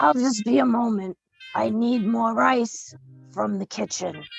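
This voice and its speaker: Someone talks in a put-on character voice at a fairly slow pace. Faint music plays in the background. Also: man, high pitch for a man. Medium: audio drama. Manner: polite, smooth.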